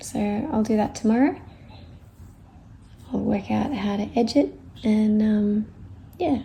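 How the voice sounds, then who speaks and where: A soft-spoken, somewhat breathy woman's voice, fairly high in pitch yet dark and mellow in tone, with long, frequent pauses. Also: ordinary pitch variation, fairly slow pace. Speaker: crafter. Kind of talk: tutorial.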